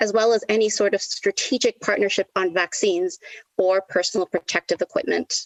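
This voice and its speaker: Speaking in a Canadian accent, a woman has an ordinary speaking voice and medium pitch. Her pace is fairly quick and her intonation fairly even. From Canada, Toronto. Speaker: lecturer in international relations speaking as party member. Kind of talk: conference debate speech. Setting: online party conference.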